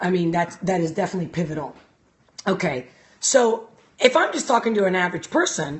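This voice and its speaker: An animated, somewhat breathy delivery at a fairly quick pace. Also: woman. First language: not English. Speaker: life coach. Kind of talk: casual live-stream talk. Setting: live stream.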